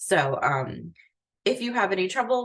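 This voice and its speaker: This woman speaks at a medium pitch. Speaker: academic advisor. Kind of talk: online orientation briefing. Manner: soft-spoken. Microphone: too quiet for auto-captions.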